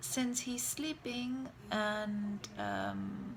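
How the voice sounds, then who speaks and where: A woman with a German accent at medium pitch, over noticeable background noise. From Germany. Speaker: vlogger, mother. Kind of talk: casual vlog talk.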